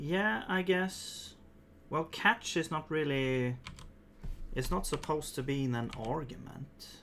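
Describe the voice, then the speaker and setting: A fairly slow delivery in a Swedish accent, broken by long, frequent pauses. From Sweden. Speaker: programmer streamer. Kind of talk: live coding stream. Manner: halting.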